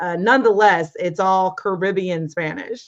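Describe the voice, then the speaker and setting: Using an unremarkable speaking voice, a woman at a medium pitch talks at a moderate pace with lively intonation. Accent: American. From United States. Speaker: former ESL teacher, interview guest. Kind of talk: interview.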